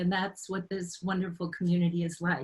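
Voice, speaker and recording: A woman speaks with a normal speaking voice at a medium pitch. Her pace is moderate. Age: 60s. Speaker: author and marathon runner. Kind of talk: personal testimony on a panel.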